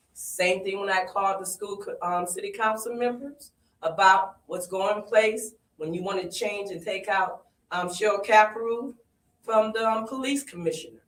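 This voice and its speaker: A plain, everyday voice from a woman, medium in pitch, at a moderate pace with fairly even intonation and big swings in loudness. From Springfield, Massachusetts. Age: 60s. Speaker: community activist. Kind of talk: public comment at community forum.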